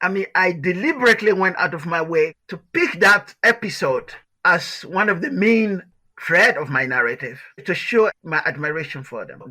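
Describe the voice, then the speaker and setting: A man's raised, projected voice with a bright, sharp tone, very wide pitch swings, big swings in loudness and a moderate pace. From Liberia. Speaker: author. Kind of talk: interview answer.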